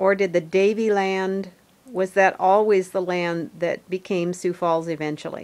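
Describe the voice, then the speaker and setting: A woman with a normal speaking voice talks at medium pitch and a fairly slow pace. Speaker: family history interviewer. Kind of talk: interview questions.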